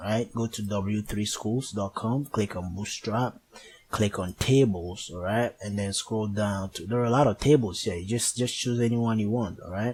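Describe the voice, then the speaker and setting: Fairly even intonation from a man, his voice somewhat breathy. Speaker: programming tutor. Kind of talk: tutorial. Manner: hesitant, many fillers.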